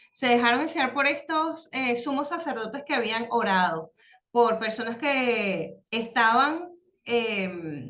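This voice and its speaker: Lively intonation and a bright, sharp tone come at a very slow pace, with audible room echo. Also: woman, high pitch for a woman. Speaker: religious course teacher. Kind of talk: online class lesson. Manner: halting, many fillers.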